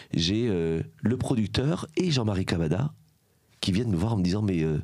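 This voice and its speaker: With lively intonation and very even loudness, a man speaks at a moderate pace in a fairly low pitch. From southern France, Aveyron. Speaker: former journalist, charity founder. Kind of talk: podcast interview. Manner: fillers, hesitant 'euh'.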